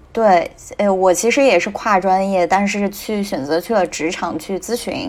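Her voice is an unremarkable speaking voice at a medium pitch for a woman. She talks at a fairly slow pace with ordinary pitch variation. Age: 20s. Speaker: strategy consultant, new graduate. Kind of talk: casual discussion.

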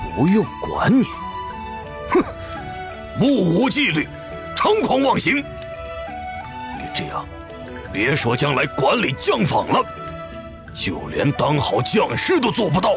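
Loud music plays in the background as a man uses a put-on character voice at a fairly slow pace. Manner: stern, cold, menacing.

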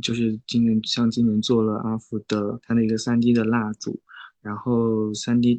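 A man's medium-pitched voice, flat and monotone, at a fairly slow pace. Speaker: independent comic artist. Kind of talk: interview. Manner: gentle, soft; halting.

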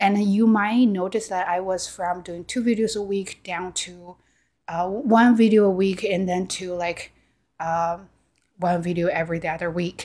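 Speaking with a non-native accent at a fairly slow pace, this voice keeps a fairly even intonation on a very clean recording with a silent background. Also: woman, medium pitch for a woman. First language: Chinese. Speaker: YouTuber and podcaster. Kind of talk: casual monologue to camera. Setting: home recording on camera. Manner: halting, with filler words and repetitions.

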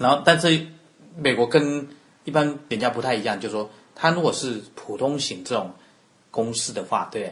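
A man speaks in a Taiwanese accent at a fairly high pitch with ordinary pitch variation. His pace is moderate, broken by long, frequent pauses. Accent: Taiwanese Mandarin. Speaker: accountant. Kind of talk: interview.

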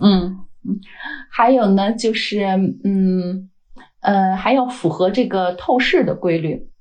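A woman speaks with a Beijing accent at a medium pitch with ordinary pitch variation. Noticeable background noise runs behind her. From China, Beijing. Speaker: wind energy data scientist. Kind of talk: interview.

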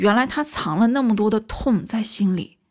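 Someone speaks in a normal speaking voice at a moderate pace. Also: woman. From China. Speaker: film commentary video host. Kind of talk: casual monologue commentary.

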